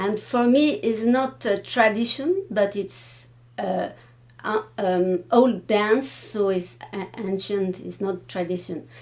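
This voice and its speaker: A woman with a French accent, at a very slow pace. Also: medium pitch for a woman, ordinary pitch variation. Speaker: Baroque dance researcher. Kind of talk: panel discussion. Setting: room with live audience. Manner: halting, many hesitations.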